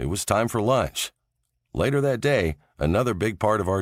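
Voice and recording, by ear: A quiet background behind lively intonation, the text read aloud in a natural voice.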